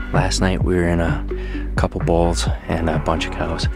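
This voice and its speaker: Clear music fills the background. Over it, a man talks. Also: dry sound with no echo. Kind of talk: casual outdoor vlog explanation. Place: open country. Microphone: lapel.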